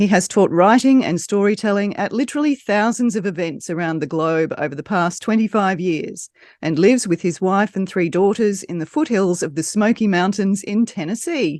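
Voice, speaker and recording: A woman speaks with an Australian accent at a medium pitch, her intonation lively. She barely pauses, and the background is quiet. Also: moderate pace. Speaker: podcast host. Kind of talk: scripted guest introduction.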